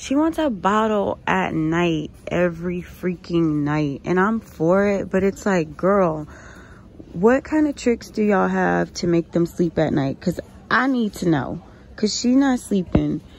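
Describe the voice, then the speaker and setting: In an ordinary speaking voice, a woman talks at a fairly slow pace with a fairly low pitch, lively intonation and very even loudness. The sound is dry with no echo, with light background noise. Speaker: couponing vlogger and mom. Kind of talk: casual vlog with a frustrated, venting rant about her toddler's sleep and leaky bottles. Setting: shopping at a store and in her car, filming herself. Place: shop. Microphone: phone near.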